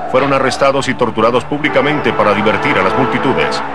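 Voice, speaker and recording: The intonation stays fairly even, with noticeable background noise behind it. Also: man. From Colombia. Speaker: voice-over announcer. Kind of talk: documentary narration.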